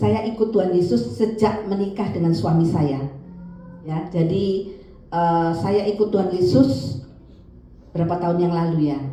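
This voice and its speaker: A woman's fairly low pitch and lively intonation at a fairly slow pace, with audible room echo and noticeable background noise. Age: 60s. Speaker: guest preacher. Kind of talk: sermon. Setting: church.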